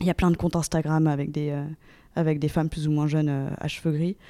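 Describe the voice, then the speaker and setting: Very clean and silent in the background, the recording captures a woman with a very deep, low pitch, a dark, mellow tone, and fairly even intonation. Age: 30s. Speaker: interviewee sharing personal experience. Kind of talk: testimony. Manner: halting, many fillers and repetitions.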